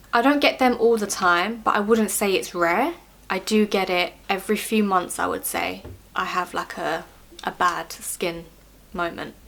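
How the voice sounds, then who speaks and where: At a moderate pace, a woman with a normal speaking voice talks at medium pitch with ordinary pitch variation. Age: 30s. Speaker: beauty vlogger sharing personal health experience. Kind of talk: casual Q&A monologue to camera. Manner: casual, with fillers and self-corrections.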